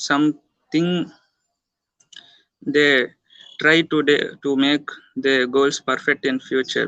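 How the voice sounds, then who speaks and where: Long, frequent pauses break up a man's speech. He talks at a very slow pace with a fairly high pitch. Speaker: college student. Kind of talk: short impromptu speech. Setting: video call. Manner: hesitant. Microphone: too quiet.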